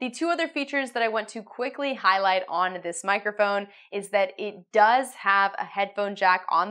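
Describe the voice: Here a woman speaks at a moderate pace, her pitch medium and its variation ordinary. Her tone is fairly bright.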